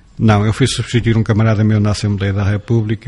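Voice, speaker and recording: Somewhat breathy delivery in a dark, mellow tone with monotone, flat intonation. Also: man. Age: 50s. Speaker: former local politician. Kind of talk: interview.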